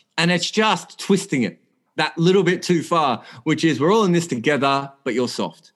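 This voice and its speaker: The speaker has an Australian accent and a moderate pace. The intonation is lively. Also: man. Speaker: cricket journalist. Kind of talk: casual chat.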